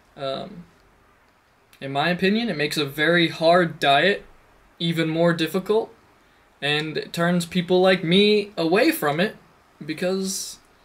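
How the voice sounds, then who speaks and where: A high-pitched man with an American accent at a fairly slow pace. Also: long, frequent pauses, big swings in loudness. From United States. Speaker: assistant language teacher in Japan. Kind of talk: video blog monologue. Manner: hesitant, many fillers.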